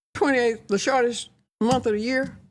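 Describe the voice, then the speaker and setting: A woman talks in a Texan accent. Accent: Texan Southern US. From Fort Worth, Texas. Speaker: retired educator and community founder. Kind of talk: podcast interview answer.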